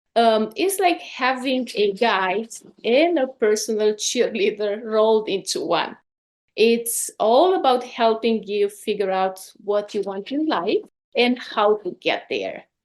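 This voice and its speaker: A woman talks very slowly in a Romanian accent. Her fairly high voice has lively intonation. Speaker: life coach. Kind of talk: podcast interview.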